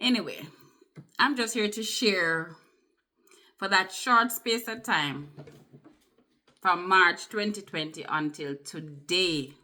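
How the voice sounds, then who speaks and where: A woman with a Jamaican accent speaks very slowly at medium pitch, her tone bright and sharp, her intonation lively, with long, frequent pauses. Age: 50s. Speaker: vlogger. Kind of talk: personal testimony. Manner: conversational.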